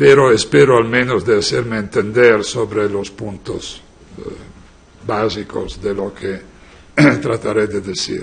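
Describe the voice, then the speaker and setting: In a non-native accent, a man talks at a fairly slow pace and a fairly low pitch, with ordinary pitch variation, long and frequent pauses, and audible room echo. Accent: foreign, non-native Spanish. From Italy. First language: Italian (speaking Spanish). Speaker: law professor. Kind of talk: lecture. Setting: conference hall with audience.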